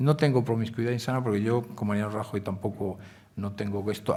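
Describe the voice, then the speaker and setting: At a moderate pace, the speech comes across as somewhat breathy. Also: man. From Galicia, Spain. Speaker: newspaper editor. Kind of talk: Q&A at a public forum. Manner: hesitant fillers.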